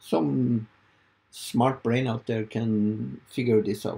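A dark, mellow, somewhat breathy voice in a Norwegian accent, with light background noise. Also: man. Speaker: video creator. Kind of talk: tutorial. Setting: home studio. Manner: halting. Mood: puzzled, hopeful. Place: home room.

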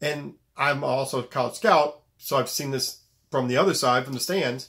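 Fairly quick pace, ordinary pitch variation and a quiet background. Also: man. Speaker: basketball coach; high school basketball coach. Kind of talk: video monologue; casual vlog advice talk. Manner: serious, direct tone; repetitive, halting. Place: home room. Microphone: phone near.

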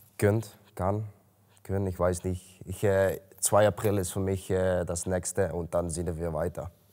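Over a quiet background, a man with a very deep, low pitch and a Dutch accent speaks at a fairly slow pace in a dark, mellow tone with monotone, flat intonation. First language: Dutch (speaking German). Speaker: MMA fighter. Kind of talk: interview. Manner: halting. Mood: calm, matter-of-fact. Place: gym.

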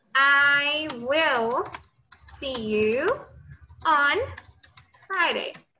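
Raising and projecting her voice, a woman speaks at a high pitch with ordinary pitch variation. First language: Portuguese. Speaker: English teacher. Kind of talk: lecture. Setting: classroom with students also joining remotely.

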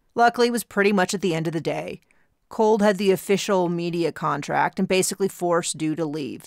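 A speaker reads in a natural voice, pitch rising and falling in an ordinary way, with little noise behind.

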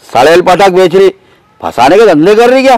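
A man is speaking with a dry sound and no echo. Crowd noise can be heard in the background. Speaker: comic film character. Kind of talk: scripted comedic dialogue.

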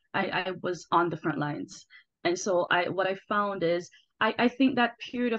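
Her intonation lively, a woman speaks at a moderate pace over a quiet background. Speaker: workshop assistant. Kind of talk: casual remarks in a workshop. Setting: video call. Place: home room. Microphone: video call.

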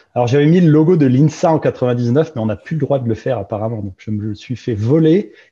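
A man with a dark, mellow, somewhat breathy voice speaks at medium pitch and a moderate pace. His intonation is lively, and the background is quiet. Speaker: investment director, engineer; panelist. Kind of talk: panel talk. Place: home room. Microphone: video call.

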